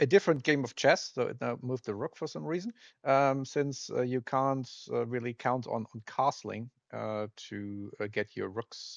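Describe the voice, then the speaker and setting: The man talks at a medium pitch with a non-native accent. The sound is dry and close, with no echo. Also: quiet background. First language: not English. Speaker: retro game developer playing games. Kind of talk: let's play commentary. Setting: screen recording of emulator. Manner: halting, many fillers; casual.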